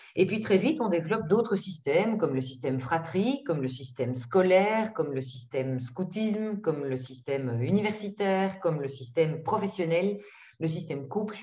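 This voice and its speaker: A woman speaks with a fairly low pitch. Her voice swings very widely up and down. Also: moderate pace. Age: 50s. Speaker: psychologist and trainer. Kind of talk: webinar presentation. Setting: video call.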